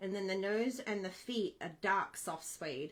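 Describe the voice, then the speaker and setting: A woman with an Australian accent, at a very slow pace. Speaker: craft demonstrator. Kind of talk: tutorial. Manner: casual, chatty.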